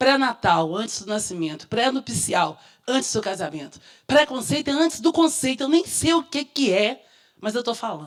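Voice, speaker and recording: A woman with vocal fry talks at a moderate pace, her pitch swinging very widely. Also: fairly high pitch for a woman. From Minas Gerais, Brazil. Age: 50s. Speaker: educator and activist consultant. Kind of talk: public talk at seminar.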